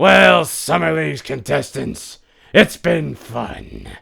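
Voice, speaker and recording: Using a put-on character voice, a man speaks at a fairly slow pace, raspy and very deep in pitch. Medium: read story. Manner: smug, showy.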